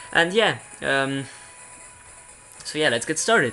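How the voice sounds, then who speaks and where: Speech at a moderate pace, with noticeable noise in the background. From Belgium. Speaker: gaming YouTuber. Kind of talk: let's play commentary. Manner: halting, many fillers and restarts.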